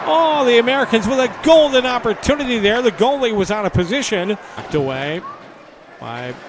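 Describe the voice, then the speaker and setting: Very wide pitch swings at a fairly quick pace, against noticeable background noise. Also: man. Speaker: hockey play-by-play announcer. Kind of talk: live hockey commentary. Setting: arena broadcast of a game.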